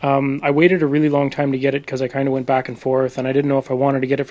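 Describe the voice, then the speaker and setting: Quiet and at a very fast pace, a man talks in a fairly high pitch over noticeable background noise. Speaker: video game reviewer. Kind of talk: voice-over game review. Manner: quiet, subdued.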